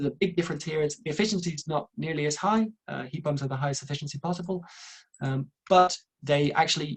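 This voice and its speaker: A man with an Irish accent speaks at a fairly quick pace with fairly even intonation, in a dry, close sound with no echo. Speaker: renewable energy engineer, webinar presenter. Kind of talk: webinar presentation. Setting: online webinar. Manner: fast.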